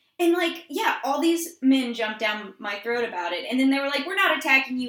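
A woman with an American accent speaks with lively intonation, and room echo can be heard. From Georgia, US. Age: 20s. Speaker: podcast co-host. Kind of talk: casual chat.

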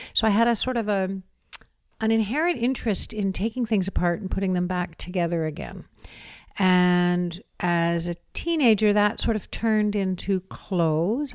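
In a very clean recording with a silent background, a woman with a normal speaking voice and a Canadian accent speaks at medium pitch and a moderate pace, with ordinary pitch variation. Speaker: set designer. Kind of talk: interview.

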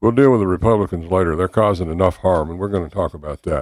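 A man with a Southern US accent speaks at a very deep, low pitch with ordinary pitch variation, against a quiet background. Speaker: political candidate. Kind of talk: radio interview. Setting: studio.

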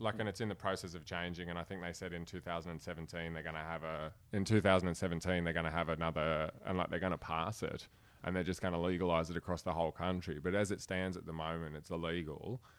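A man with a strong Australian accent and a very deep, low pitch speaks very fast in a monotone, flat way, in a very clean recording with a silent background. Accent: broad Australian. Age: 30s. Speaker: comedian. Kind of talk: casual chat.

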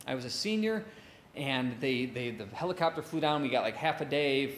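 In an American accent, a man with an ordinary speaking voice talks at a fairly quick pace with lively intonation. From Chicago south suburbs. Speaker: live debate show host. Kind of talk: live stage debate hosting with audience. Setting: stage with audience in a pub.

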